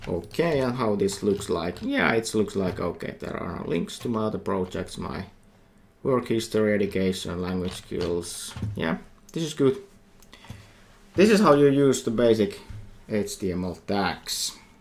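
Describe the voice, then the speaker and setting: A man's fairly low voice, fairly slow and lively in intonation, with audible room echo. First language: Finnish. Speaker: university lecturer. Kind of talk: lecture. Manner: halting.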